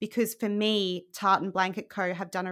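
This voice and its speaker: A woman talks with an Australian accent. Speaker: podcaster and blog coach, former journalist. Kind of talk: casual interview chat. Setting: remote call. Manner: animated.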